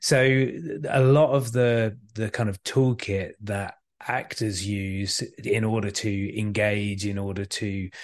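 Speaking with a British accent, a man with a fairly low pitch is heard against a quiet background. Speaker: communication skills trainer and author. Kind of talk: casual interview chat.

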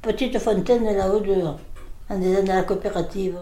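Amid audible room echo, a woman of medium pitch talks at a fairly quick pace with fairly even intonation. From Provence, France (Gonfaron, Var). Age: 90s (80s+). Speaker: elderly local resident. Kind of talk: casual interview, reminiscence. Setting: living room at home. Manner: halting.

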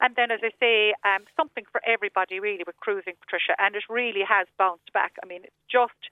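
Speaking at a fairly quick pace, a woman talks in a Cork accent. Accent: Cork Irish. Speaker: travel agent. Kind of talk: radio interview.

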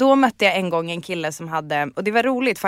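The recording is very clean, with a silent background and a dry, close sound with no echo. A woman speaks at a medium pitch with lively intonation. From northern Sweden, Umeå area. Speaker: podcast guest. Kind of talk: casual chat.

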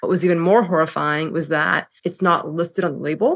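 A woman with an American accent has an ordinary speaking voice, fairly low in pitch, with fairly even intonation. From San Francisco, US West Coast. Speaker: company founder and CEO. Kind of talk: interview.

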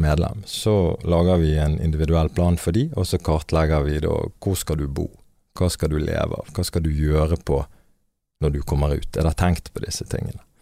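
Very deep and low in pitch, a man's voice has a dark, mellow tone and moves at a moderate pace. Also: very clean recording, silent background. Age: 30s. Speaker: leader of a prisoner re-entry organization. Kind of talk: podcast interview.

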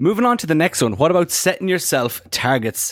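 A man with an Irish accent and very wide pitch swings. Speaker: co-host. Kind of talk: casual chat.

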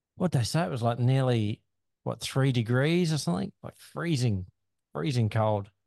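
The sound is dry and close with no echo as a man speaks at a moderate pace and medium pitch. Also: lively intonation. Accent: Australian. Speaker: podcast host. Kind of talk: casual chat.

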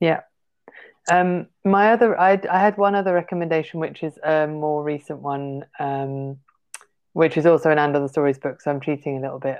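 A woman with a southern English accent speaks at a moderate pace, her pitch very deep and low. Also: ordinary pitch variation. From southern England (Portsmouth). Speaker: literary translator and publicist. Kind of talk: interview.

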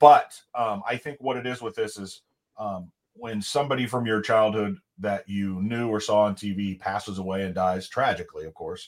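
Speaking at a moderate pace, a man has a normal speaking voice, fairly low in pitch with ordinary pitch variation. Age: 30s. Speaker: podcast co-host. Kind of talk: casual chat.

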